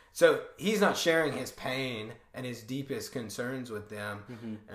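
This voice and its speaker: Audible room echo surrounds a man speaking at a fairly slow pace with a medium pitch. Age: 20s. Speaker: startup worker. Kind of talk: casual chat.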